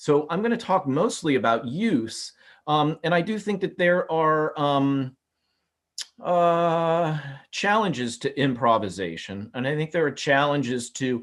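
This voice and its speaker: Speaking at a fairly slow pace, a man uses a fairly high pitch with very wide pitch swings. He talks in a Midwestern American accent. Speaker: architecture professor. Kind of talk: webinar lecture. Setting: video call.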